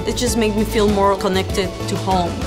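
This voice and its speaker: Music is clearly audible in the background. The woman talks at a moderate pace. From Peru (Lima). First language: Spanish. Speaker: public health graduate student. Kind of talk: interview answer. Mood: warm, grateful. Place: office. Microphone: lapel.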